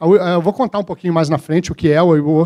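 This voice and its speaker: Using ordinary pitch variation, a man speaks at a high pitch. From Minas Gerais, Brazil. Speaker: corporate speaker. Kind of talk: conference talk.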